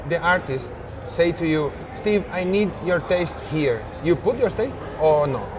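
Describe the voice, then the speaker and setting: In a Spanish accent, a man with a high-pitched voice speaks fairly slowly and with lively intonation, leaving long, frequent pauses, over noticeable background noise. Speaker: interviewer. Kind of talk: interview. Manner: halting.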